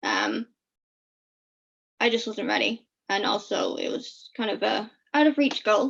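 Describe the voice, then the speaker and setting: A woman speaks at a fairly slow pace. Vocal fry runs through her voice. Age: 20s. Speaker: FASD advocate. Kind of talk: interview answer. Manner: eloquent.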